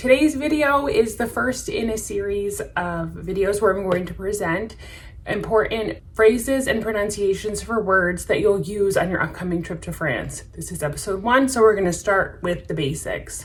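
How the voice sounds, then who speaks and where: A woman talks at a moderate pace with hardly any pauses and lively intonation. Audible room echo and noticeable background noise are present. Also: medium pitch for a woman. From United States. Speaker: French teacher and travel vlogger. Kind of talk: tutorial.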